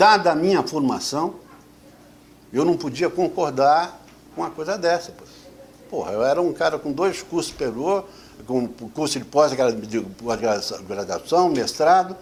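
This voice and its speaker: A man speaks slowly in a fairly high voice, with very wide pitch swings and big swings in loudness. Long, frequent pauses break his speech over noticeable background noise. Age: 70s. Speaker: retired army officer. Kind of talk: testimony. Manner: halting, repeats words.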